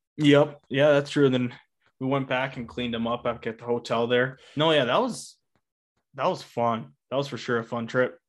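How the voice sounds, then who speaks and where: A man speaks in a normal speaking voice at medium pitch and a moderate pace. The background is quiet. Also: fairly even intonation. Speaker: upland bird hunter and podcast co-host. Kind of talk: casual chat. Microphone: new podcast mic.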